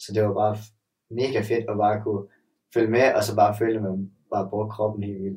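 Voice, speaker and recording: A man's fairly low, somewhat breathy voice with a dark, mellow tone, monotone, flat intonation and long, frequent pauses. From Denmark, Sønderborg (Southern Jutland). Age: 20s. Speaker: gymnast. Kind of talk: casual chat.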